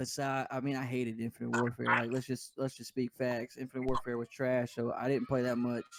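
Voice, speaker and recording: A medium-pitched male voice with a Louisiana accent. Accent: Southern US (Louisiana). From US South (Denham Springs, Louisiana). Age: 20s. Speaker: gaming podcast co-host, esports player. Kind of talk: casual chat.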